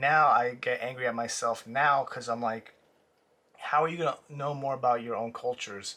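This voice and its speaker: Over a quiet background, a man with a Spanish accent speaks at a moderate pace and medium pitch. His tone is bright and sharp, with fairly even intonation. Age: 20s. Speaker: artist vlogger. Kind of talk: personal vlog reflection. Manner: halting.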